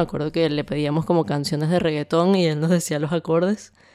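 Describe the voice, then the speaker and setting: This woman's voice sits fairly low and has a dark, mellow tone. She talks at a fairly quick pace with fairly even intonation. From Venezuela, Caracas. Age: 20s. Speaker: music composer. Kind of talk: interview testimony.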